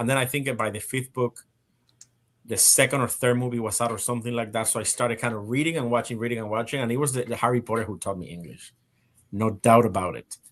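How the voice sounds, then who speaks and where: Against a quiet background, a man with a Spanish accent speaks at a very fast pace, at a medium pitch with fairly even intonation. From Spain and Puerto Rico. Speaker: live stream host. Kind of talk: casual panel chat. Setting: live stream. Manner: halting, many repetitions.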